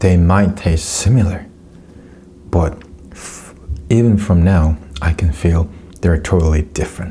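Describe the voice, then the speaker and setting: Speech comes at a fairly slow pace in a non-native accent. Noticeable background noise sits behind it. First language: Korean. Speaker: food YouTuber. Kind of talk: casual taste test commentary. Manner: halting, with self-corrections.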